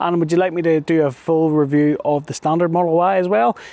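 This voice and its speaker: The voice carries a British accent and a dark, mellow tone. Its pace is fairly quick. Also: man. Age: 40s. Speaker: car reviewer. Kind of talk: product review; video outro. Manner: casual.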